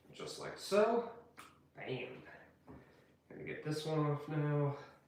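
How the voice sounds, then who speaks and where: Over noticeable background noise and audible room echo, the speaker goes at a very slow pace with lively intonation and big swings in loudness. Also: man, fairly high pitch for a man. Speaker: cooking video creator. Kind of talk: cooking tutorial with casual chat.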